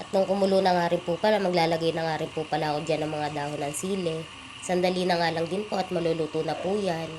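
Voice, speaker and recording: With a monotone, flat intonation, the words rush out at a very fast pace. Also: woman, fairly low pitch for a woman. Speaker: cooking vlogger. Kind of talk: cooking tutorial voiceover. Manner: polite, repetitive filler phrases.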